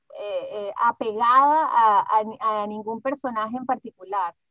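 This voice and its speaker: A woman speaks in a raised, projected voice with a bright, sharp tone, lively intonation and a very slow pace, in a dry, close sound with no echo. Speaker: voice actress. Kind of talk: interview answer.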